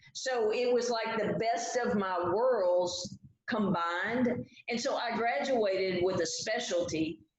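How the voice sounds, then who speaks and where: Speech comes at a very slow pace. The pitch variation is ordinary. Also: woman, fairly high pitch for a woman. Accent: West Texas. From Texas (Lexington, central Texas). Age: 40s. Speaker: writer. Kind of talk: casual chat.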